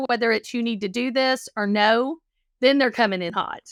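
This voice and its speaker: A woman with a Texas accent, high-pitched, at a fairly quick pace with ordinary pitch variation. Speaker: counselor. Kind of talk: interview conversation.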